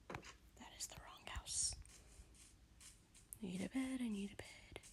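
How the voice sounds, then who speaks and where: Each word comes at a very slow pace. It is all whispered. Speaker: gaming streamer. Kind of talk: casual gameplay commentary with storytelling. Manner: whispering.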